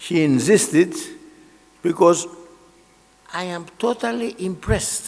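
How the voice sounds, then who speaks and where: Speaking very slowly with a Greek accent, a man uses a high pitch and ordinary pitch variation against noticeable background noise. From Greece. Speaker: engineering association president and professor. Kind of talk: keynote speech. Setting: large hall with audience.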